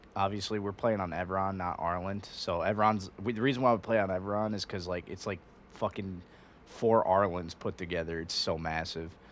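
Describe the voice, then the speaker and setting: The man's pitch is very deep and low. His intonation is fairly even. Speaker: gamer and soldier. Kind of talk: tutorial. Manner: fast; casual, halting with fillers.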